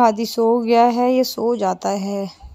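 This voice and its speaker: A woman speaks in a monotone with flat intonation. The sound is dry with no echo, and faint music plays in the background. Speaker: mother vlogger. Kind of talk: casual vlog chat. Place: car. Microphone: phone near.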